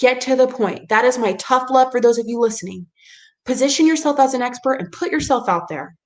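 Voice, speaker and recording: With a high pitch and an animated tone, a woman talks at a fairly quick pace and ordinary pitch variation. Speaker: PR agency owner giving a webinar session. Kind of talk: webinar presentation with live Q&A. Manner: fast.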